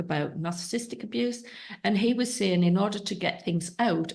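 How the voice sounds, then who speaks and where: This woman has an English accent. She talks at a fairly quick pace with ordinary pitch variation. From England. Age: 60s. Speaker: podcast host. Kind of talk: interview conversation.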